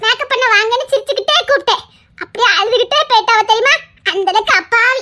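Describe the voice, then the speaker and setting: A woman's cartoonish character voice with lively intonation. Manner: chattering, cheerful.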